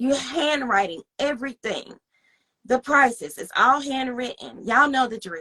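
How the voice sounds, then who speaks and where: A woman's raised, projected voice rings high, bright and sharp, with lively intonation and big swings in loudness. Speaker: online reseller. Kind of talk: interview.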